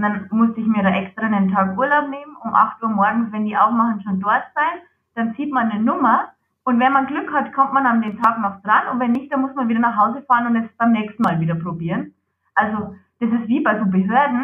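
A woman with a slight Lower Bavarian accent speaks at a fairly quick pace with ordinary pitch variation. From Lower Bavaria, Germany. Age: 20s. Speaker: psoriasis patient, project manager. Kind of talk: interview.

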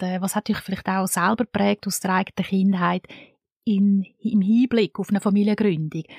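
A woman with a Swiss accent, medium pitch and fairly even intonation, at a moderate pace, in a dry, close sound with no echo. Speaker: podcast host. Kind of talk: scripted narration; interview.

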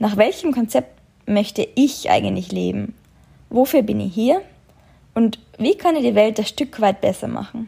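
Long, frequent pauses break up this woman's speech. She keeps a fairly slow pace. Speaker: podcaster and travel blogger. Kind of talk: personal storytelling monologue.

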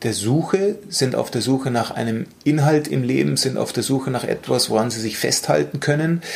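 A man with a medium-pitched voice talks fairly slowly, his pitch varying in an ordinary way. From Bavaria, Munich. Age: 40s. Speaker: mental coach. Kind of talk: interview conversation. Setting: office meeting room. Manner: calm, measured.

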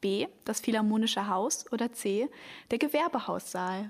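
In a normal speaking voice, the speaker goes at a fairly slow pace with lively intonation on a very clean recording with a silent background. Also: woman. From Germany, Hamburg. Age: young. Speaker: podcast host, cultural volunteer. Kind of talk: casual podcast chat.

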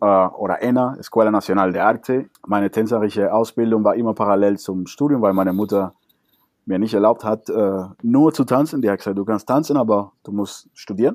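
The recording is very clean, with a silent background. A man speaks at a fairly quick pace with ordinary pitch variation. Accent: Spanish. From Cuba. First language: Spanish (speaking German). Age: 30s. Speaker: salsa dancer and teacher. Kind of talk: interview.

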